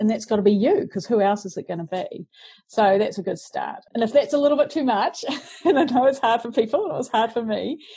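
A woman speaks at a very fast pace in a New Zealand accent. Her fairly high voice carries lively intonation. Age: 40s. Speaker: self-help author. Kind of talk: interview.

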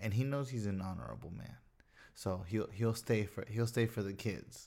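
A plain, everyday voice from a man, fairly low in pitch, at a moderate pace with fairly even intonation. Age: 20s. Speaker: podcast co-host. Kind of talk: casual chat.

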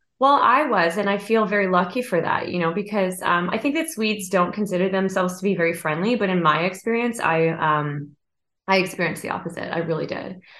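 A woman with a Canadian accent at a very fast pace, medium in pitch with ordinary pitch variation. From Canada, Vancouver. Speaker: songwriter. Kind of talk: interview.

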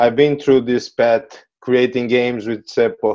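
A man with a Portuguese accent speaks at a moderate pace in a dark, mellow tone. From Brazil. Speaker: company colleague, former student. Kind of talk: interview.

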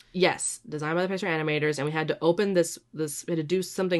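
A woman speaks in a normal speaking voice at a fairly low pitch, with ordinary pitch variation. The background is quiet. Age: 20s. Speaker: podcast co-host. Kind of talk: casual chat.

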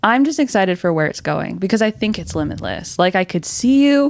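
Using an ordinary speaking voice, a woman talks at a moderate pace with lively intonation. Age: 20s. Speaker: production assistant. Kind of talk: casual chat.

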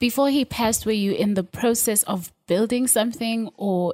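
Fairly high pitch, somewhat breathy, from a woman with ordinary pitch variation. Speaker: podcast host. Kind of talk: casual interview.

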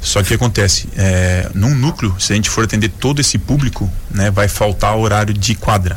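Noticeable background noise sits behind a man with a fairly low voice. He talks at a moderate pace with ordinary pitch variation. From Joinville, Santa Catarina, southern Brazil. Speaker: former volleyball player, social project coordinator. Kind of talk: radio interview.

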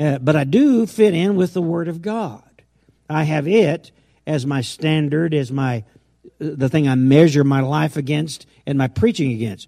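A man's fairly high voice with a dark, mellow tone, lively intonation and a fairly slow pace. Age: 70s. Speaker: pastor. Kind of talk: sermon. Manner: halting.

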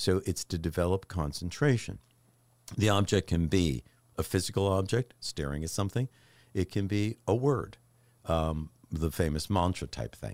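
A man with a very deep, low pitch speaks at a moderate pace with lively intonation. The recording is very clean with a silent background and a dry, close sound with no echo. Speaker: mindfulness and meditation expert. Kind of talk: podcast conversation. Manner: smooth, relaxing way of talking.

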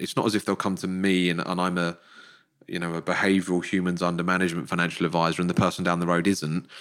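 In a very clean recording with a silent background, a man with an English accent speaks at a very deep, low pitch. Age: 40s. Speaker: financial planner and podcaster. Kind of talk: podcast interview.

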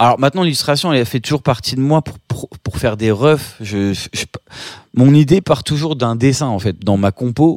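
Lively intonation at a moderate pace, very clean recording with a silent background, dry and close with no echo. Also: man, medium pitch for a man. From France, Paris suburbs (Seine-et-Marne). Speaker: photographer and illustrator. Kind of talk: interview testimony. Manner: halting, many fillers and repetitions.

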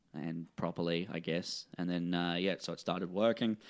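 On a very clean recording with a silent background, a man with a New Zealand accent speaks at a moderate pace in a very deep, low pitch. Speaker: comedy promoter and comedian. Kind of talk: casual chat.

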